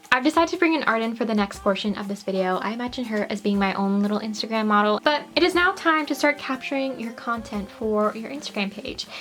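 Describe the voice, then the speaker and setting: A woman talks at a very fast pace with hardly any pauses. Noticeable background noise runs under her voice. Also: fairly high pitch for a woman, lively intonation. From Canada. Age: 20s. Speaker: doll collector YouTuber. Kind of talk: tutorial; recorded disclaimer. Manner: casual, chatty.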